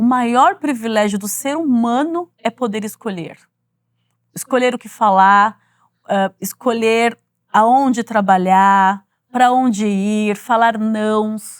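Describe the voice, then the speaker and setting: A woman's fairly high voice at a very slow pace, with lively intonation. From Brazil, São Paulo (East Zone). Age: 40s. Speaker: corporate executive and author. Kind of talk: interview.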